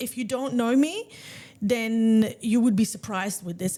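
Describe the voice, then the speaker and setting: In a very clean recording with a silent background, a woman with a dark, mellow tone talks at a moderate pace, her pitch fairly high with ordinary variation. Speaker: salon owner and podcast host. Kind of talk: casual chat. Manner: loud.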